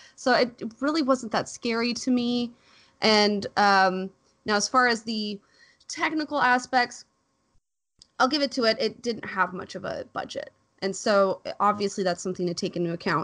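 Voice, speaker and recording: A woman has an unremarkable speaking voice, fairly high in pitch with ordinary variation. She talks at a moderate pace against a quiet background. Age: 30s. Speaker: film podcast panelist. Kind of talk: casual film review discussion.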